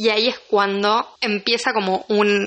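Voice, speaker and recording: A woman speaks at a medium pitch with a Rioplatense accent. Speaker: film podcaster. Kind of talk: solo podcast monologue. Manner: casual, chatty.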